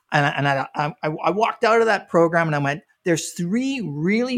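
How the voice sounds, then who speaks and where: At a moderate pace, a man speaks in a normal speaking voice with fairly high pitch and lively intonation. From Canada. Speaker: business strategist. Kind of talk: interview.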